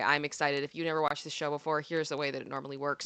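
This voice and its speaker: A woman's voice with a bright, sharp tone comes through dry and close with no echo, over a quiet background. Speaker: pop culture commentary streamer. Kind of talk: live stream commentary. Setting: live stream.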